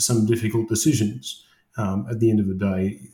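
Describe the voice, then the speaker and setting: A man with an Australian accent speaks in a dark, mellow, somewhat breathy tone with fairly even intonation. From Australia, Wollongong. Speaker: construction project manager. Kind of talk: interview conversation.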